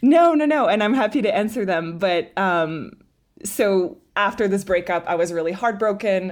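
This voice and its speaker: Recorded very cleanly against a silent background, a woman at medium pitch swings very widely in pitch while keeping her loudness very even. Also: moderate pace. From Montreal, Quebec. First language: French. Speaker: writer and performer. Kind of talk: casual interview chat.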